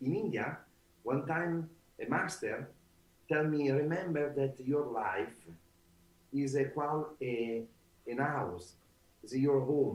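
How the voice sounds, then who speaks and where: Speaking with an Italian accent, a man moves at a very slow pace, leaving long, frequent pauses. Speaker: author and trainer. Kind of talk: interview. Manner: halting.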